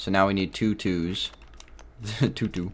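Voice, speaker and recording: Mumbling at a fairly slow pace, a man speaks with a fairly low pitch. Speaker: gaming youtuber. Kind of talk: let's play commentary.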